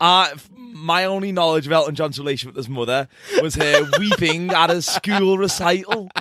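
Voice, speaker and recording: A man's high-pitched voice in a British accent. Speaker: comedy podcast co-host. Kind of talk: casual chat.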